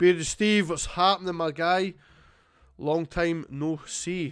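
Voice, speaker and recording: With a Scottish accent, a man speaks at a fairly slow pace and a fairly high pitch. His pitch varies in an ordinary way, and music plays in the background. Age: 20s. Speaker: streamer. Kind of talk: casual live stream chat. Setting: live stream at home. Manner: casual, rambling with fillers.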